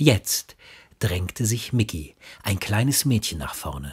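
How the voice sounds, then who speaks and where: A man is talking. His pace is very slow. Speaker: audiobook narrator and father reading for his son. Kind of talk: children's bedtime story reading. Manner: calming, soothing.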